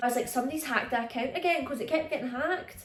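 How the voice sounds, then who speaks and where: In a Scottish accent, a woman speaks with a high pitch. Her pitch varies in an ordinary way. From Scotland. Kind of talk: casual storytime talk to camera. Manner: chatty, animated.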